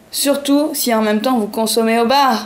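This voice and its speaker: Amid noticeable background noise, a voice with a playful tone moves at a very slow pace with ordinary pitch variation. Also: woman. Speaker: comedian. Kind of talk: comic weekly bar program announcement. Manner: playful, improvised.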